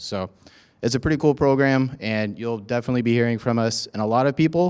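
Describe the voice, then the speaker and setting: A man talks at a very fast pace in an energetic tone. His pitch moves in an ordinary way. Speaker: student veteran, peer mentor program lead. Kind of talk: welcome talk to new students. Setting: event room with audience, microphone. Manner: loud; casual, energetic.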